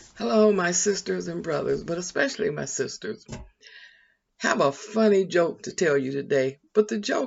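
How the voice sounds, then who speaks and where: At a moderate pace, a woman speaks with vocal fry. Her pitch swings very widely. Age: 80s+. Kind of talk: casual chat. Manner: conversational.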